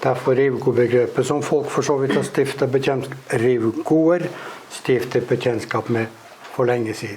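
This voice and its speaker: A man's medium-pitched voice at a fairly slow pace, with fairly even intonation, audible room echo and noticeable background noise. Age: old. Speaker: interviewer. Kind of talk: interview on stage.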